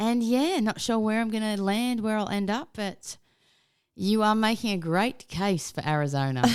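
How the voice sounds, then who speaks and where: In a very clean recording with a silent background, a woman with an Australian accent speaks at a moderate pace, her fairly high pitch carried by lively intonation. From Australia, Melbourne. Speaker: podcast guest, podcaster. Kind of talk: casual chat.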